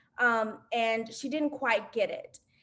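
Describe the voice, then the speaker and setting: Fairly slow delivery with fairly even intonation, in a slight Southern US accent. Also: woman. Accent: slight Southern twang. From US South. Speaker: alumna panelist. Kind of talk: panel discussion.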